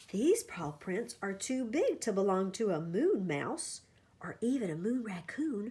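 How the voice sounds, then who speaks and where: A woman's put-on character voice, fairly high in pitch and fairly slow, on a very clean recording with a silent background. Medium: read story.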